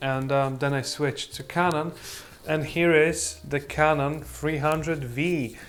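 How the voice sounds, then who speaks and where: A man with a fairly high voice speaks fairly slowly in a flat monotone. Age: 20s. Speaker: photography YouTuber. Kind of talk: product review. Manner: halting, many fillers.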